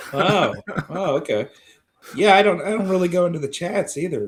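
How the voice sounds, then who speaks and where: At a moderate pace, a man speaks with vocal fry. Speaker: writer and video creator. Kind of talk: casual chat. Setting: live video stream. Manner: halting, repeated words.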